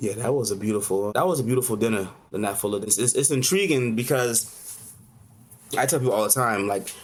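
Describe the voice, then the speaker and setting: A plain, everyday voice from a man, ordinary pitch variation throughout. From Charleston, South Carolina. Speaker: chef and caterer. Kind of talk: interview answer.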